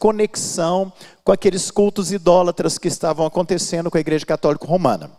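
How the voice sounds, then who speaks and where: A man's voice, high-pitched, with ordinary pitch variation. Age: 60s. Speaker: pastor and Bible school teacher. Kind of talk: lecture. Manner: halting, with fillers.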